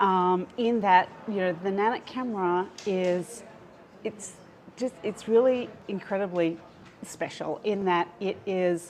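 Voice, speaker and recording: With an Australian accent, a woman of medium pitch speaks at a very slow pace with fairly even intonation. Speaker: pediatric sleep researcher. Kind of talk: live-stream interview. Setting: live stream. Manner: hesitant, many fillers.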